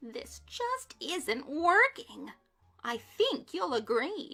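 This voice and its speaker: A shrill put-on character voice speaks at a very slow pace. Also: woman, high pitch for a woman. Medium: read story. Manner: snappish, screechy.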